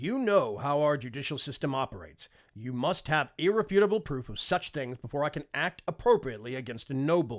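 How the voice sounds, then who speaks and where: Using a put-on character voice, a man speaks at a fairly quick pace with a fairly high pitch. His voice sounds strained, and his pitch swings very widely. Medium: read story. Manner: restrained, formal.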